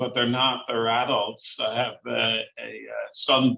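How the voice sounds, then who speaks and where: A man with an Irish accent at a fairly slow pace. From Ireland, Dublin. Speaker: university chancellor and psychiatrist. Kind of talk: interview.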